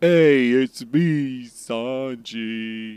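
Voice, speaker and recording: A man puts on a character voice at a medium pitch. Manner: casual greeting.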